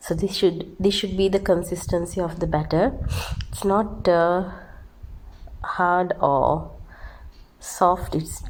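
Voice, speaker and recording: A flat, monotone voice with vocal fry moves at a very slow pace, broken by long, frequent pauses. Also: woman. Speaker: home baker. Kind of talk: tutorial.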